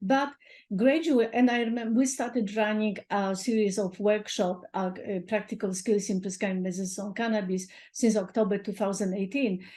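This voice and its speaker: Over a quiet background, the voice is somewhat breathy and dark, mellow in tone. The pace is fairly quick. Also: woman, medium pitch for a woman, ordinary pitch variation. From Poland. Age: 60s. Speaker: doctor. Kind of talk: interview.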